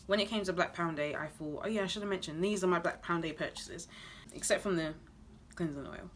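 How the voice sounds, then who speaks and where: With a British accent, a woman speaks at a fairly low pitch in a bright, sharp tone. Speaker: beauty and lifestyle vlogger. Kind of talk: product haul review. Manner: fast; casual, chatty.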